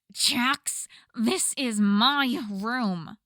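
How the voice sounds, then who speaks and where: Doing a put-on character voice, a woman growls in a high pitch, raising and projecting her voice with an angry tone and lively intonation. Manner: growling, angry.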